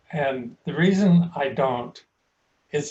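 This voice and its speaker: This man's voice is somewhat breathy and fairly high in pitch, with ordinary pitch variation. He talks at a very slow pace. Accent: American. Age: 80s+. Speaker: painter. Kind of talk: interview. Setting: video call. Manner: halting, many fillers.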